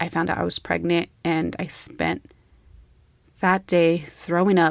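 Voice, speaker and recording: Vocal fry and fairly even intonation on a very clean recording with a silent background. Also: woman. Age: 30s. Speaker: podcast host. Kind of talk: personal reflection monologue. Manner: conversational.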